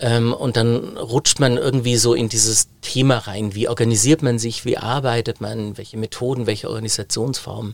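At a moderate pace, a man talks in a normal speaking voice at a medium pitch with fairly even intonation. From Baden-Württemberg, Germany (Biberach an der Riß). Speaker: digitalization consultant and keynote speaker. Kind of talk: interview conversation.

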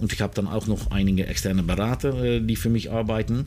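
A man with a Dutch accent speaks at a moderate pace in a fairly low pitch with ordinary pitch variation. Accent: Dutch accent in German, non-native. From Netherlands. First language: Dutch (speaking German). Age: 50s. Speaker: information security executive. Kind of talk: interview. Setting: outdoors in a garden. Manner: halting, many fillers.

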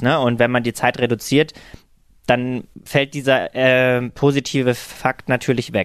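Against a quiet background, a man at medium pitch speaks at a moderate pace with fairly even intonation, in a dry, close sound with no echo. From eastern Germany, Halle an der Saale. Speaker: influencer and veterinary student. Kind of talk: casual interview. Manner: hesitant with many fillers.

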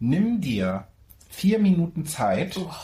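With very wide swings in pitch, a man talks in a somewhat breathy voice. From Mecklenburg-Vorpommern, Germany. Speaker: podcast co-host. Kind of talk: casual chat. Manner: animated, laughing.

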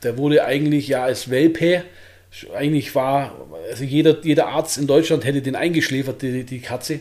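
This man's voice is fairly high in pitch, and he keeps to a moderate pace. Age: 30s. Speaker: bodybuilder and shop owner. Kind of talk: casual interview.

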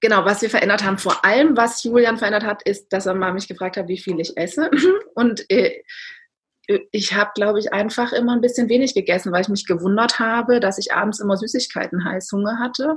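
This woman's voice is somewhat breathy and fairly high, with ordinary pitch variation. She talks at a fairly quick pace. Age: 30s. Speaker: endurance athlete. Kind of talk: interview.

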